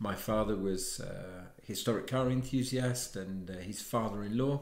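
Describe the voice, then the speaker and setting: With audible room echo, a man with an English accent speaks at a fairly low pitch. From England. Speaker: watchmaker; interviewee. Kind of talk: interview. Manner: halting. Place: home room. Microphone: lapel.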